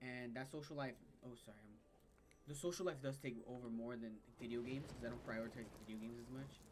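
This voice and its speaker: A man talks at a very fast pace and medium pitch, with ordinary pitch variation. Audible room echo is present. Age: 20s. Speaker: gaming streamer. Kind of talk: casual gaming livestream chat. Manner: casual, rambling with fillers.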